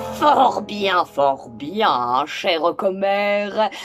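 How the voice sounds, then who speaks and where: Over clear background music, a woman uses a put-on character voice and speaks very slowly. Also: medium pitch for a woman. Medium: read story. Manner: pompous, ponderous.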